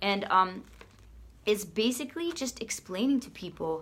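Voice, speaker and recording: Speaking in a Boston accent, a woman with a medium-pitched voice makes very wide pitch swings. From US Northeast, Boston. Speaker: fitness coach and product seller. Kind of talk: casual product walkthrough video. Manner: fast.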